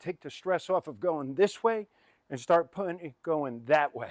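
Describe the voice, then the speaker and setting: A fairly high-pitched man speaks at a moderate pace in a very clean recording with a silent background and a dry, close sound with no echo. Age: 60s. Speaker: fitness trainer. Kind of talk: follow-along workout instruction. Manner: animated.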